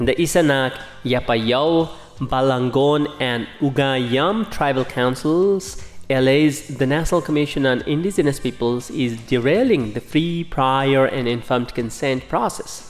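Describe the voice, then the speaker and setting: The talking proceeds fairly slowly while music plays behind it. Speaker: news bulletin reader. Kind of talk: news reading, scripted radio bulletin. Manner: formal, even-paced, neutral newsreader delivery; measured and dry, with little emotion.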